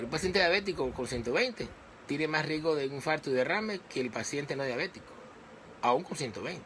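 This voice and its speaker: A man with a fairly high voice speaks at a very fast pace. His intonation is lively. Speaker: physician giving health talks. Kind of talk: live medical talk to online audience. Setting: live stream on social media page.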